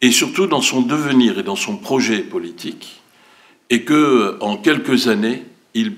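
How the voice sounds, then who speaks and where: Very slow pace with very wide pitch swings. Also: man, medium pitch for a man. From Turkey, Ankara. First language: Turkish (speaking French). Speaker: cinema director. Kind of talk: public speech. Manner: hesitant, many fillers.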